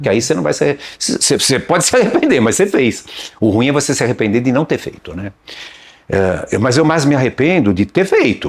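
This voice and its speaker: A man speaks at a fairly quick pace and fairly high pitch. His pitch swings very widely. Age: 60s. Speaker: video rental shop owner. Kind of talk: casual interview chat. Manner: halting, with false starts.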